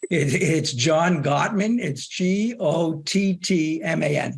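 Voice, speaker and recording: In a strong Boston accent, a man speaks at a fairly high pitch with ordinary pitch variation. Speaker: behavior consultant. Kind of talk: webinar discussion. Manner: halting.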